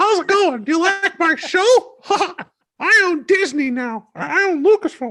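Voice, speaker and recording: A put-on character voice at an extremely high pitch and a moderate pace. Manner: cheerful, mocking.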